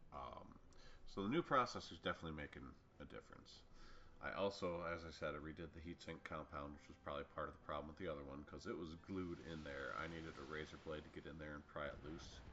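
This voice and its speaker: With vocal fry and a very deep, low pitch, a man races along at a very fast pace, showing ordinary pitch variation. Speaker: gaming YouTuber. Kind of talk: gameplay commentary. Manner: casual, rambling with fillers.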